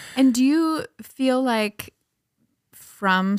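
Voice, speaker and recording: A woman speaks with a Minnesota accent and ordinary pitch variation. The recording is very clean, with a silent background and a dry, close sound with no echo. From Minnesota (Breckenridge). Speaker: podcast host, sociology instructor. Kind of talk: casual chat.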